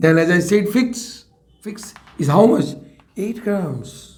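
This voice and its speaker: A high-pitched man with an Indian accent and lively intonation, in audible room echo. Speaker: chemistry teacher. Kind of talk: lecture. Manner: slow; repetitive.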